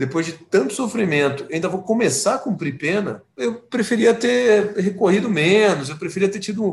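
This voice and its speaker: A man speaks in a normal speaking voice. His pace is fairly quick and his intonation lively. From Brazil, São Paulo. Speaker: criminal lawyer. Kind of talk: interview.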